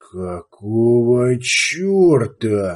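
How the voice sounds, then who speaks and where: Doing a put-on character voice, a man hisses at a medium pitch while his pitch swings very widely. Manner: furious, hissing.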